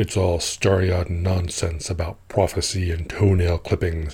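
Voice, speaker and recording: Putting on a character voice, a man rumbles at a very deep, low pitch and a fairly slow pace. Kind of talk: comic monologue. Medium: audio drama. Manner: talkative, scornful, grumbling, with a soldier's pride; haughty, disdainful exclamations.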